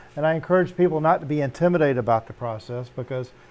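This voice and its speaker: A man with an unremarkable speaking voice talks fairly quickly with ordinary pitch variation. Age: 60s. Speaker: Navy veteran and home cannabis grower. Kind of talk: casual chat.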